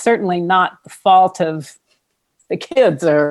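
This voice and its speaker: An unremarkable speaking voice with ordinary pitch variation carries this clip. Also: woman. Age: 60s. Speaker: singer-songwriter and mother of the host. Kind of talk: casual interview.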